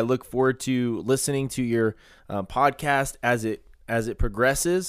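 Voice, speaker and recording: At a fairly quick pace, a man with a medium pitch and ordinary pitch variation talks in a plain, everyday voice. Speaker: sports podcast host. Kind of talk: casual interview chat.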